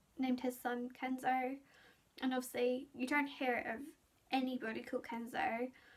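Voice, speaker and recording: A woman's high-pitched voice in a British accent at a moderate pace. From UK. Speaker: beauty and lifestyle vlogger; lifestyle vlogger. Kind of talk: casual vlog monologue. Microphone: phone near.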